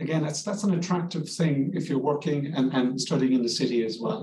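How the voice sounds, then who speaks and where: A man with a Cork accent speaks in a somewhat breathy, fairly high-pitched voice with ordinary pitch variation. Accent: Cork Irish. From Ireland, Cork. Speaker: language school director. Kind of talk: informational interview. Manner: halting.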